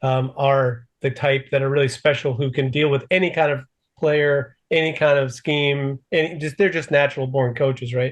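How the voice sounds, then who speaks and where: Fairly high-pitched and somewhat breathy, a man speaks at a moderate pace. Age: 60s. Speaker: podcast host. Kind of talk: interview. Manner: halting.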